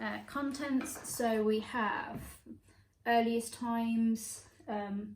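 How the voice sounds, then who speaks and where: A woman with a fairly high pitch speaks very slowly in a flat monotone, leaving long, frequent pauses, with audible room echo. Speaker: thrifting vlogger. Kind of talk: casual haul vlog. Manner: casual, hesitant with fillers.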